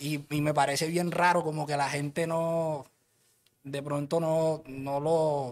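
The man's voice sits at a fairly high pitch. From Colombia, Cartagena (Caribbean coast). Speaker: rapper. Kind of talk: casual interview chat. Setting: studio.

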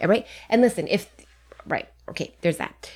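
Animated and lively in intonation, a woman talks at a fairly quick pace with vocal fry. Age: 40s. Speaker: podcast co-host. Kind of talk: casual chat.

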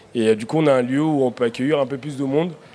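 A man talks with normal pitch movement while noticeable background noise carries on. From Africa, came to France at 9. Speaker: chef. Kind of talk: live radio panel discussion. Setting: outdoor live broadcast with audience. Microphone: held too far from the mic.

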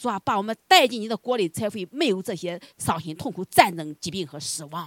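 A woman's voice in a dry, close sound with no echo makes very wide pitch swings. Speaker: congregation member leading prayer. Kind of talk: fervent prayer. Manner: earnest, pleading.

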